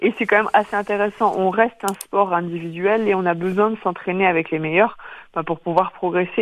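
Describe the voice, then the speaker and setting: A woman speaks at a moderate pace in an ordinary speaking voice. Her pitch is medium and her intonation fairly even. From Brittany, Quimper (Finistère). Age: 30s. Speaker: elite fencer. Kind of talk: radio interview. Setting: phone call.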